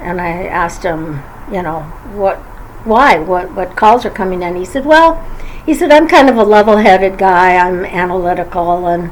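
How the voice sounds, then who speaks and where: Over noticeable background noise, a woman at medium pitch speaks at a moderate pace with lively intonation. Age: 70s. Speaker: YouTuber. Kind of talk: vlog monologue. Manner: halting, many fillers.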